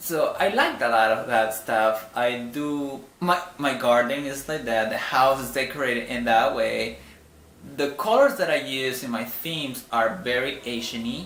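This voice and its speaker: Over noticeable background noise and audible room echo, a man with a non-native accent speaks at a fairly slow pace in a medium pitch with ordinary pitch variation. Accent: noticeable foreign. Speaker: vlogger. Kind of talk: casual vlog monologue. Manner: halting, with many fillers and restarts.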